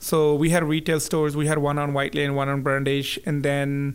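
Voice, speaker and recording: Speaking at a moderate pace with a Punjabi accent, a man uses a fairly high pitch and a monotone, flat intonation. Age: 30s. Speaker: business owner. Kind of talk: casual interview.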